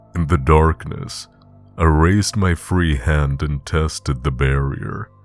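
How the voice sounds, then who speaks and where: With music in the background, a man with a very deep, low pitch and ordinary pitch variation speaks at a very slow pace. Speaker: audiobook narrator. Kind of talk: horror story narration.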